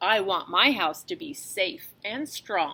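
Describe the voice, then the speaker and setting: Growling in a put-on character voice, a woman speaks at a fairly slow pace with a medium pitch and very wide pitch swings. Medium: read story. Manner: calm, measured.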